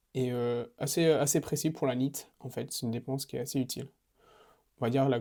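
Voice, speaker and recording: A man speaks at a medium pitch in a dark, mellow tone. His pace is fairly quick and his intonation monotone and flat. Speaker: fitness coach. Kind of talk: casual vlog monologue. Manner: fast; hesitant, many fillers.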